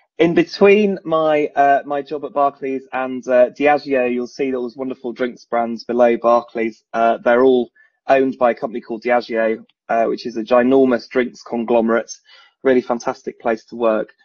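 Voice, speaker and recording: A man with a northern English accent talks at a moderate pace. His pitch is medium with ordinary variation. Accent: northern English vowels. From northern England, Leeds. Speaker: recruitment and talent executive. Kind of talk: online presentation. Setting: online video event.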